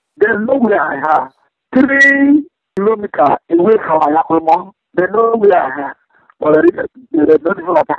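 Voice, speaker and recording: With a Niger Delta accent and very wide pitch swings, a man speaks at a moderate pace, the sound dry with no echo and the background quiet. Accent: Nigerian (Ijaw) English. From Nigeria, Niger Delta. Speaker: militant leader. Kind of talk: phone interview. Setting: phone call. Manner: confident. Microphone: phone line.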